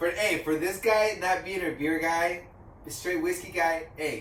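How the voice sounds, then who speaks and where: Amid noticeable background noise and audible room echo, a man speaks at a high pitch and moderate pace with fairly even intonation. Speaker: beer review podcast host. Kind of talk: casual chat.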